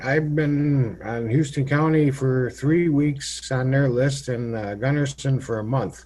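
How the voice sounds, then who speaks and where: A man with a Minnesota accent talks at a fairly slow pace and a fairly high pitch. His pitch variation is ordinary, and there is noticeable background noise. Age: 60s. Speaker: county commissioner. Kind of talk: public meeting questions. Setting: county board meeting.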